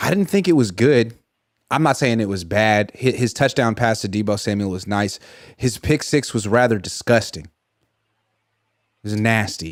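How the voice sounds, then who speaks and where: A man speaks at a moderate pace, medium in pitch with ordinary pitch variation, leaving long, frequent pauses. The recording is very clean and the background silent. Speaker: sports journalist. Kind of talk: casual sports talk. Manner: animated.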